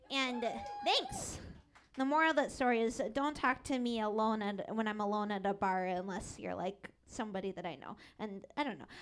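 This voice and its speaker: With music in the background, a speaker with an American accent talks at a fairly quick pace with lively intonation. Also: woman, fairly high pitch for a woman. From Seattle. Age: 20s. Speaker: stand-up comedian. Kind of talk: stand-up. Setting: stage with audience.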